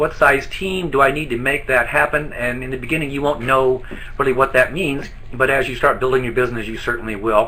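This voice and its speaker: At a fairly quick pace, a man with a medium pitch speaks in a fairly even intonation against noticeable background noise. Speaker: network marketing distributor trainer. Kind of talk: online training presentation. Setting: office, live online broadcast. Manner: fast.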